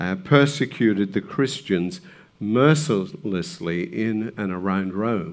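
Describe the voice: In plain reading aloud, the speaker's intonation is lively.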